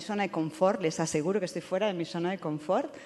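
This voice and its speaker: A woman with a Spanish accent talks at a fairly low pitch with fairly even intonation. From Spain. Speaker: professor. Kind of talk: panel discussion. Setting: stage with audience. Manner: halting, many fillers.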